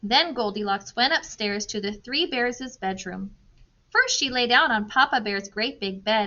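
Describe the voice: Reading aloud, plain.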